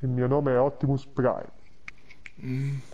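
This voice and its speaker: Over clear background noise, a man in a put-on character voice booms at a medium pitch and a very slow pace. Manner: commanding, heroic.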